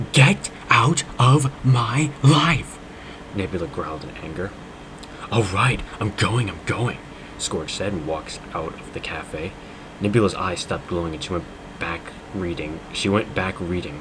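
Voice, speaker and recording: Over noticeable background noise, a man with a fairly low voice speaks at a fairly slow pace in a dramatic tone, with very wide pitch swings and long, frequent pauses. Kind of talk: dramatic reading of fan fiction. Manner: mock-dramatic, comedic.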